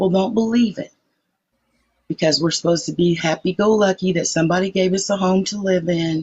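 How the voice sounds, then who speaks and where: A woman with a fairly low, somewhat breathy voice, ordinary pitch variation and a fairly quick pace. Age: 60s. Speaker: participant in a live social media debate. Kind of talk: casual group discussion.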